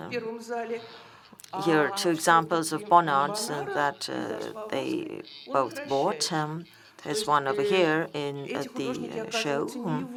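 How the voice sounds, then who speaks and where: A woman talks at a fairly slow pace with a very deep, low pitch and ordinary pitch variation. Noticeable background noise and audible room echo fill the recording. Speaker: symposium speaker. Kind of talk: conference lecture. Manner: halting, many fillers.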